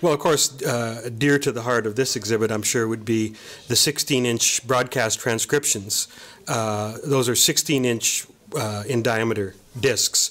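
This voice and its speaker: With a Canadian accent, a man speaks in a normal speaking voice at medium pitch, his intonation fairly even. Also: fairly slow pace. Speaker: archivist and author. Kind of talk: interview. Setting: studio.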